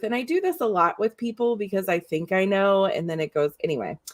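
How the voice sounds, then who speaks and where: A woman speaks in an unremarkable speaking voice at medium pitch. She moves at a fairly quick pace with ordinary pitch variation. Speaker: podcast host. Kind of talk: live interview conversation.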